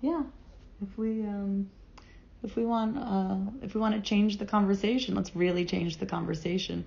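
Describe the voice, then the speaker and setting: Somewhat breathy, a woman with an American accent talks at a fairly quick pace. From Florida, US. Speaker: business owner. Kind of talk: casual interview.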